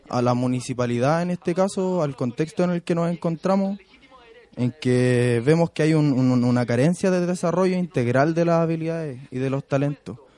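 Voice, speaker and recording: A man talks at a moderate pace in a fairly high pitch with ordinary pitch variation. The sound is dry and close with no echo, though noticeable background noise is present. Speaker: community activist. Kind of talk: radio interview.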